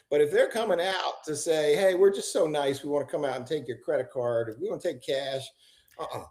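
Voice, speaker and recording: A man talks at a fairly quick pace in a normal speaking voice. His pitch is fairly high with ordinary variation. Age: 60s. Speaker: district attorney. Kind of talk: interview.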